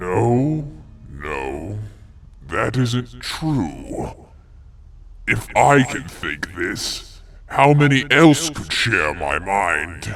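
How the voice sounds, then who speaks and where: A man puts on a cartoonish character voice, fairly low in pitch, with very wide pitch swings. He speaks very slowly, with long, frequent pauses. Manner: arrogant, menacing, condescending.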